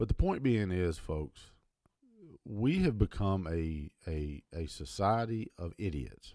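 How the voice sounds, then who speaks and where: Over a silent background on a very clean recording, a speaker with an American accent talks very slowly with lively intonation, the sound dry and close with no echo and the tone dark and mellow. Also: man, fairly low pitch for a man. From United States. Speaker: video commentator. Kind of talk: angry opinion rant. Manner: emphatic, blunt, confrontational; rambling, repeats words, stumbles.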